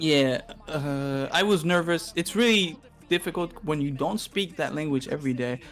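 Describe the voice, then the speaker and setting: A man speaks at a fairly high pitch with a slight Quebec accent. Noticeable background noise is present. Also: ordinary pitch variation, moderate pace. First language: Spanish. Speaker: streamer and content creator. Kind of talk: casual podcast chat. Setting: live stream. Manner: halting, searching for words.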